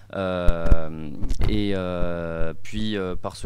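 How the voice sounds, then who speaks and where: Fairly even intonation from a man with a very deep, low pitch. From southwest France, Gers. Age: 20s. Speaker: young party official. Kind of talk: radio interview. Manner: halting, many fillers.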